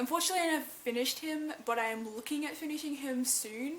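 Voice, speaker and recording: A woman's intonation is lively, with noticeable noise in the background. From Australia. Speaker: cosplay YouTuber. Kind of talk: Q&A video, casual. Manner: casual, animated.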